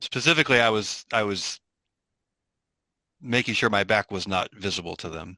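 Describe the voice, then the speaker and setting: A man speaks at a moderate pace with a bright, sharp tone, ordinary pitch variation and long, frequent pauses. The sound is dry and close with no echo, against a quiet background. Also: fairly low pitch for a man. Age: 50s. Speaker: philosophy professor. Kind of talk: research interview.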